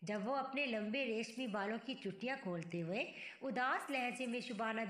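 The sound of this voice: The voice is an unforced reading voice. It reads the text through.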